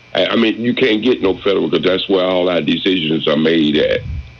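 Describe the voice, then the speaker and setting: A man talks over noticeable background noise. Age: 60s. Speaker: caller. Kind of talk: call-in radio comment. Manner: halting, many fillers and repeats.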